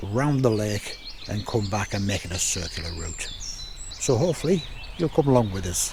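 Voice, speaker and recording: A man's fairly low voice with lively intonation, a moderate pace, long, frequent pauses, and noticeable background noise. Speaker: hiking vlogger. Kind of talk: casual vlog narration. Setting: outdoors on a fell walk.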